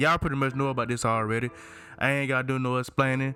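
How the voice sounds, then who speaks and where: Music plays in the background as a man talks at a very fast pace. He has a fairly high pitch and a Southern US accent. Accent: country Southern. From Alabama. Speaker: gaming YouTuber. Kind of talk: casual video game commentary. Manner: animated.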